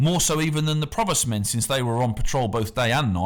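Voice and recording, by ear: The voice is natural. It is reading aloud.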